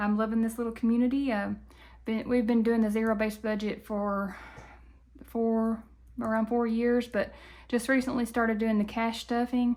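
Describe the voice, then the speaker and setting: Monotone, flat delivery at a moderate pace, very even in loudness, with long, frequent pauses over a very clean, silent background. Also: woman, fairly high pitch for a woman. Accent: Southern US. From Tennessee, US South. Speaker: budgeting YouTuber. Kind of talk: casual vlog talk. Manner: halting, many fillers.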